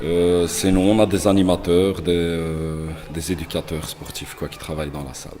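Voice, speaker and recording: Noticeable background noise sits behind a man. He talks at a fairly slow pace. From Anderlecht, Brussels, Belgium. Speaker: building caretaker. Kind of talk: interview.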